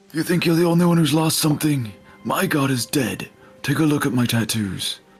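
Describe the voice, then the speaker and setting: Loud and booming, a man does a put-on character voice at fairly high pitch and a fairly quick pace while faint music plays in the background. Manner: raised, booming, confrontational.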